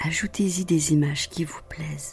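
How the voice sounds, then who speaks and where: A woman's calm, soothing, fairly low voice at a very slow pace, with ordinary pitch variation and music in the background. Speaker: guided meditation guide. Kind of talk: guided meditation. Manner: calm, slow, soothing.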